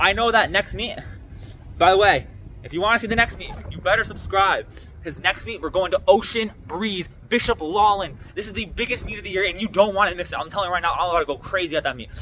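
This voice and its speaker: Talking at a very fast pace, a man uses a high pitch with ordinary pitch variation and big swings in loudness. Light background noise sits behind him. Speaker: student athlete vlogger. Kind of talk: casual vlog chat. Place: street. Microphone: phone near.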